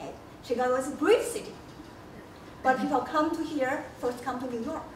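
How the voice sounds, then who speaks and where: With a Chinese accent, a woman talks at a fairly quick pace in a high voice with ordinary pitch variation. Her loudness swings widely, and room echo is audible. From China. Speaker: history professor. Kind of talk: lecture. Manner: halting.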